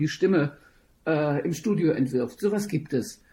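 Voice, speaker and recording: On a very clean recording with a silent background, a woman speaks with a very deep, low pitch and a dark, mellow tone. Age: 60s. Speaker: opera singer and voice teacher. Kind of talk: interview.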